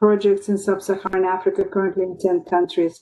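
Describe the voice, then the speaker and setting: A woman's dark, mellow tone at a fairly quick pace, with fairly even intonation. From Russia. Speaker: pediatrics professor. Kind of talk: panel discussion.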